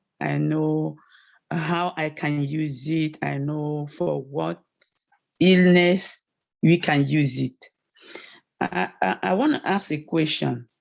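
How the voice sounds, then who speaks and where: A woman in a French accent, very slow, with long, frequent pauses. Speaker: course participant. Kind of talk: question from the floor. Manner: halting.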